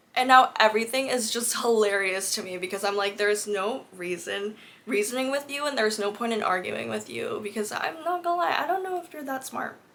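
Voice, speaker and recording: A woman with a fairly high pitch speaks at a fairly quick pace with hardly any pauses. Her tone is animated and her intonation lively, with noticeable background noise behind her. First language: not English. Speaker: book content creator. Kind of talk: casual chat.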